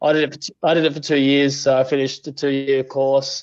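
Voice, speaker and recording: In an Australian accent, a man speaks at a fairly high pitch with monotone, flat intonation. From Western Australia, country town. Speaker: auto electrician, podcast guest. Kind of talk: casual interview chat. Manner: fast, slightly slurred.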